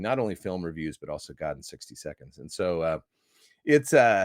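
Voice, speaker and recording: In an American accent, a man talks at a fairly quick pace, the sound dry and close with no echo in a very clean recording with a silent background. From US Midwest (Iowa). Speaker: movie critic and evangelist. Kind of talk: podcast interview. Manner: animated.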